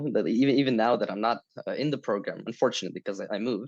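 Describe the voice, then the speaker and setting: This man talks very fast, his pitch medium and his intonation fairly even. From Ukraine. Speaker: former student choir member. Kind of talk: group interview. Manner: halting.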